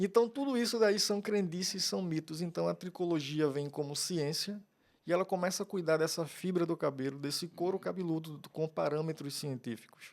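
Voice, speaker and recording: This man has a strong Pernambuco accent and a high pitch. His pace is moderate. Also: ordinary pitch variation. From Pernambuco, Brazil (Cabo de Santo Agostinho, rural). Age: 50s. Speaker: trichologist. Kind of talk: podcast interview.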